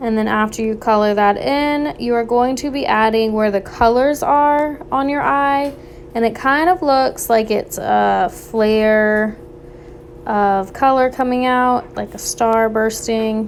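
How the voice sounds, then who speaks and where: A woman's fairly high voice at a very slow pace, ordinary pitch variation, and noticeable background noise. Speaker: art teacher. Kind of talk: tutorial.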